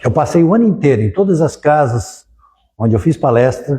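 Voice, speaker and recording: A man with a dark, mellow tone and fairly high pitch speaks somewhat breathily at a fairly quick pace. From southern Brazil, Criciúma (Santa Catarina). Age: 70s. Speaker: spiritist lecturer, lawyer. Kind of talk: public lecture.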